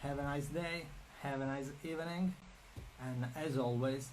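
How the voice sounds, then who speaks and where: A man with a Sicilian accent speaks with ordinary pitch variation, amid audible room echo and noticeable background noise. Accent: Sicilian Italian accent in English. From Sicily, Italy. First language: Italian. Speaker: artist and art career coach. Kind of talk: live stream Q&A. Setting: Instagram and Facebook live stream. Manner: halting, many fillers and repetitions.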